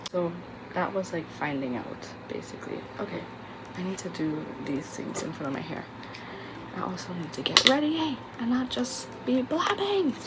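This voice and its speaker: A quiet woman at a medium pitch, with very wide pitch swings, a moderate pace and long, frequent pauses, amid noticeable background noise and audible room echo. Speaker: lifestyle vlogger. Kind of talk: casual chat.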